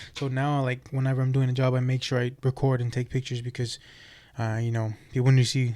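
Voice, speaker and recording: In a dark, mellow tone, a man at medium pitch talks at a fairly quick pace with monotone, flat intonation. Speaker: construction business owner and podcaster. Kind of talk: casual monologue vlog. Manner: halting, many fillers.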